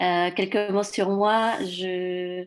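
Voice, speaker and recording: Against total silence, the recording is very clean. Her pitch sits in the middle range for a woman, and her intonation stays fairly even. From Mexico. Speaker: new committee member. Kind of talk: self-introduction at a meeting. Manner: hesitant.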